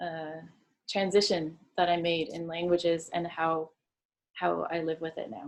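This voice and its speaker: At a fairly slow pace, a woman with a fairly low pitch speaks in a monotone, flat way while her loudness swings widely. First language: Dutch. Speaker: poet. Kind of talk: interview. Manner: hesitant, with many fillers and repeats.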